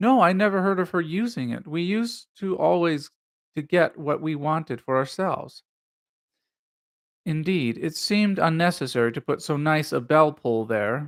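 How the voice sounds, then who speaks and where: In an unremarkable speaking voice with fairly high pitch, a man speaks at a moderate pace with lively intonation, on a very clean recording with a silent background. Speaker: live stream reader. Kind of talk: read-aloud of a classic mystery story.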